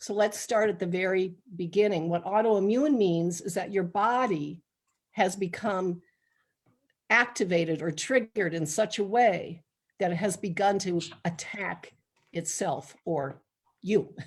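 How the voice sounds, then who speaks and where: A woman with a normal speaking voice, medium pitch, ordinary pitch variation and a fairly slow pace. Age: 60s. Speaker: medical intuitive and spiritual counselor. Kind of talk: informal health talk in a live online meeting. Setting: live video meeting streamed online.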